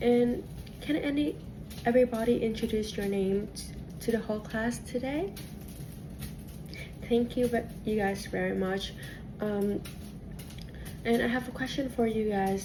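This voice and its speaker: With a Vietnamese accent, a woman talks at a fairly slow pace with long, frequent pauses and fairly even intonation, over audible room echo and noticeable background noise. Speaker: cooking teacher. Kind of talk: cooking class instruction. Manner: halting, many fillers and restarts.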